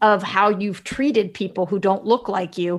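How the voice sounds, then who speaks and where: This woman has a normal speaking voice at medium pitch. She talks at a moderate pace. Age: 20s. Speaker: podcast co-host. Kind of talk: casual chat.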